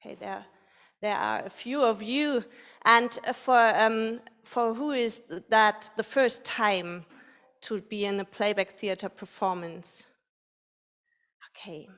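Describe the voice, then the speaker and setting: A woman reads at a very slow pace with long, frequent pauses and a fairly high pitch that varies in an ordinary way. The recording is very clean, with a silent background. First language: not English. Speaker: playback theatre facilitator. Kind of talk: audience warm-up at live performance. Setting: stage with live audience. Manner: halting, many fillers and restarts.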